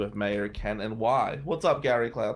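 With an American accent, a man speaks at medium pitch with ordinary variation on a very clean recording with a silent background. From New Jersey. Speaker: criminal defense lawyer. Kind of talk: casual monologue.

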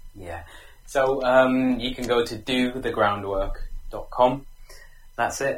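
The man's voice is somewhat breathy. His intonation is fairly even. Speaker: relationship expert. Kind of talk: interview. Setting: call from remote location.

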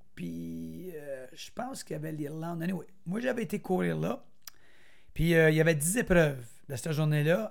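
A man's fairly high voice at a moderate pace, with lively intonation, big swings in loudness, and long, frequent pauses. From Quebec, Argenteuil (Brownsburg). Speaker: former runner and motivational speaker. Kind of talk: interview, personal life story.

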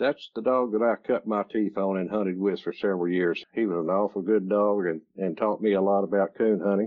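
A man speaks with an East Texas accent at a fairly low pitch, his intonation fairly even. He hardly pauses at all. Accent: East Texas Southern drawl. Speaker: retired coon hunter and dog breeder. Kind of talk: interview storytelling. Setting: remote call.

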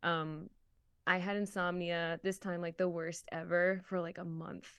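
An unremarkable speaking voice moves at a moderate pace. The background is quiet. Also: woman. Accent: American. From Massachusetts, US. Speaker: voice actor. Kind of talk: casual chat.

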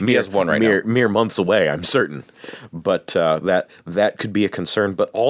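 In a normal speaking voice, a man with a fairly low pitch talks at a moderate pace, the sound dry and close with no echo. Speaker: podcast host.

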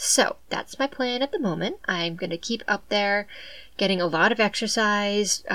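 In a southeastern Massachusetts accent, a woman speaks at a moderate pace with ordinary pitch variation. The recording is very clean, with a silent background. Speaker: podcast host. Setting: home recording.

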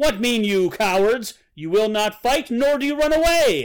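A man's put-on character voice, bellowing and raised in projection, at an extremely high pitch with lively intonation and a moderate pace. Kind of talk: dramatic reading of a historical epic. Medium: solo performance. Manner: roaring, defiant.

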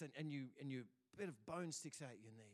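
Animated in tone, a man with an Australian accent speaks with very wide pitch swings. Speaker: pastor. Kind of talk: sermon; dramatic second-person storytelling in a sermon. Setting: church. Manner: animated, vivid storytelling; building suspense, dramatic pacing.

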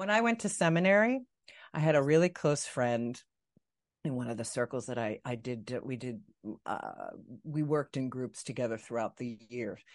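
A woman speaks with lively intonation at a very deep, low pitch against a quiet background. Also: moderate pace. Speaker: podcast host. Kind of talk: live interview conversation. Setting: live online show.

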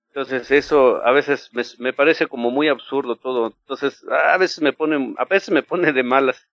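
A man with a fairly high voice talks with hardly any pauses. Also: ordinary pitch variation, moderate pace. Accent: Mexican. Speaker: former church member. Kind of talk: interview.

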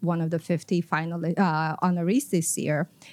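At a moderate pace, a woman speaks with a Filipino accent. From Philippines. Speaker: economic development executive. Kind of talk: podcast interview. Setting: conference venue.

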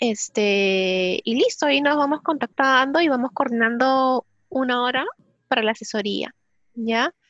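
A woman talks at a fairly slow pace with ordinary pitch variation. The sound is dry and close with no echo, over a quiet background. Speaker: psychologist and recruiter. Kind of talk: webinar talk.

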